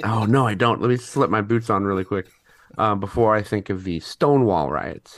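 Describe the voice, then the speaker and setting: In an American accent, a man with a fairly low pitch speaks at a moderate pace in a normal speaking voice with ordinary pitch variation. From St. Louis, Missouri. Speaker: tattoo artist and graphic designer. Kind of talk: quiz game chat.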